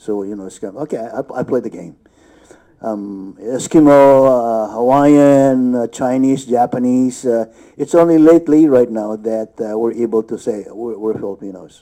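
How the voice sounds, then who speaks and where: At a moderate pace, a man with a medium pitch and a dark, mellow tone speaks with ordinary pitch variation and big swings in loudness. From Philippines. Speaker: actor. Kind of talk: panel discussion. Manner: halting.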